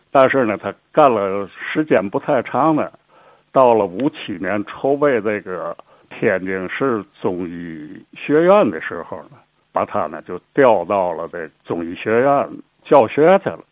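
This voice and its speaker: Speaking at a very slow pace, a man with a fairly low pitch makes very wide pitch swings and big swings in loudness. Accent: Tianjin. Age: 70s. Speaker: local history storyteller. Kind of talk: oral history storytelling.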